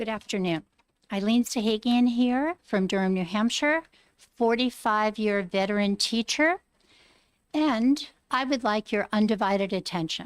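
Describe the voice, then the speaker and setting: A woman with an ordinary speaking voice, pitched fairly high, at a moderate pace. Her pitch varies in the usual way, and the sound is dry and close with no echo. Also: very clean recording, silent background. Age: 60s. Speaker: retired teacher, hearing witness. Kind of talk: legislative testimony. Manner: earnest, pleading.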